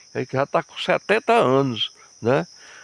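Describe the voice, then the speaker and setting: Through noticeable background noise, a man talks at a very slow pace with very wide pitch swings, the sound dry and close with no echo. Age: 70s. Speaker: rural vlogger. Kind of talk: casual narration on a walk. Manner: halting.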